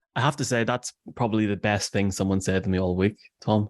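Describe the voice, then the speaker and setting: In an Irish accent, a man with a fairly low pitch talks at a fairly quick pace and with fairly even intonation, on a very clean recording with a silent background and a dry, close sound with no echo. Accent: Irish brogue. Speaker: podcast producer. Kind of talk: casual chat.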